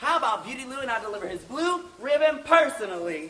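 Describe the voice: In a put-on character voice, a man talks fast at an extremely high pitch, bright and sharp, with big pitch swings and audible room echo.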